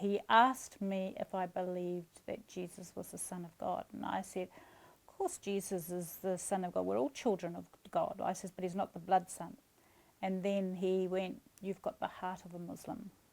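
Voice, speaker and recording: A woman with a New Zealand accent speaks with fairly even intonation but big swings in loudness. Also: medium pitch for a woman, moderate pace. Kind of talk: interview answer.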